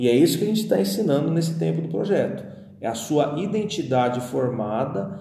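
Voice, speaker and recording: Over noticeable background noise and audible room echo, a man of medium pitch speaks at a moderate pace with very wide pitch swings. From Brazil, São Paulo. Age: 30s. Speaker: pastor. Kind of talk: podcast interview, testimony and teaching.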